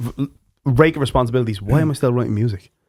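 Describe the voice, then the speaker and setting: This man's voice sits at a medium pitch and carries a Dublin accent. His tone is animated, with ordinary pitch variation. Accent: Irish, Dublin. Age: 30s. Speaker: podcast host and musician. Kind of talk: casual chat.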